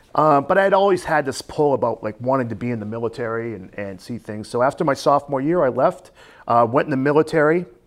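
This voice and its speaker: At a very fast pace, a man talks with lively intonation. His pitch is medium. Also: very clean recording, silent background. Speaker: athletic trainer and gym owner. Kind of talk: casual interview.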